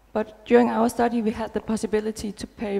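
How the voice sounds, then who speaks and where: A moderate pace in a Danish accent. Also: woman. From Denmark. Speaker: nurse researcher. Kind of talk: conference talk. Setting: stage with audience. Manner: hesitant with fillers. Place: hall. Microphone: headset.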